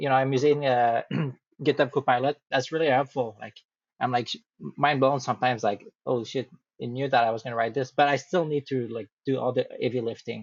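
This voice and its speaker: Speaking at a fairly quick pace with a strong French accent, a man keeps his intonation fairly even. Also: medium pitch for a man. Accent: thick French. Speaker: AI company project support. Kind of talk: casual chat. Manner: halting.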